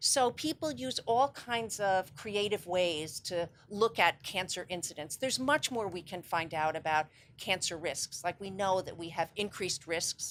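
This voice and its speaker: A woman's plain, everyday voice, medium-pitched, with lively intonation, a fairly slow pace and hardly any pauses. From New York City. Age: 60s. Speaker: psychotherapist and cancer charity founder. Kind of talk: interview.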